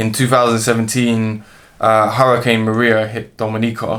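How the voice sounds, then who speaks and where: A man with a London accent, medium pitch and monotone, flat intonation at a fairly quick pace, in a very clean recording with a silent background. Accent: London urban. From London, England. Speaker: musician and zoologist. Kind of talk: interview. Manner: casual, hesitant with fillers.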